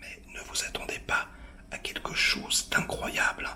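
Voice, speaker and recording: A man whispers over noticeable background noise. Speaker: film critic reviewer. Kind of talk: film review to camera. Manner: whispered, hushed.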